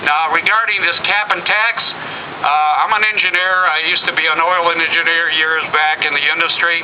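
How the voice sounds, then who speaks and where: A man with a high pitch talks at a moderate pace with hardly any pauses and fairly even intonation, over noticeable background noise and audible room echo. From Italy (near Trieste), moved to the US at age 10. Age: 60s. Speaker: retired engineer speaking at a political rally. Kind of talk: rally speech. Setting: outdoor rally with crowd.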